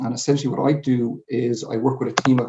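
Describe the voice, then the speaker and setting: In a Dublin accent, a man talks at a fairly quick pace and medium pitch with monotone, flat intonation. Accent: Dublin Irish. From Ireland, Dublin. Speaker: sales manager. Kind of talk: conference presentation. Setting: home. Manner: hesitant fillers.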